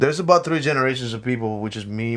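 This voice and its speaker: A man with a slight Spanish accent and a fairly low pitch speaks over noticeable background noise. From Mexico. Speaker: podcast co-host. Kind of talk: casual chat.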